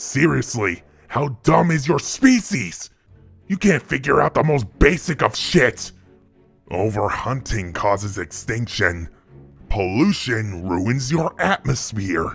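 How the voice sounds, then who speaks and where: A put-on, raspy character voice with a menacing tone at a fairly slow pace, faint music in the background. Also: man, medium pitch for a man. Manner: contemptuous, menacing.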